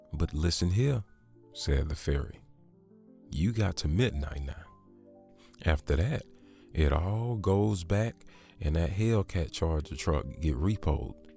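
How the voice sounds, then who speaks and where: A soft-spoken man's very deep, low voice with lively intonation, at a very slow pace with long, frequent pauses and music in the background. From Southern US. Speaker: ASMR storyteller. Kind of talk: sleep story. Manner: slow, soft.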